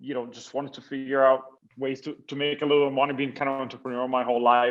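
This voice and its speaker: In an Italian accent, a man talks at a medium pitch with fairly even intonation. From Italy. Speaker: tech company CEO. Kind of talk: interview.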